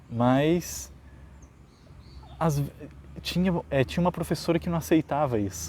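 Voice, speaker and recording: A man speaks at a fairly slow pace with lively intonation, somewhat breathy, leaving long, frequent pauses. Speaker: teacher. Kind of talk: educational vlog. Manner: halting.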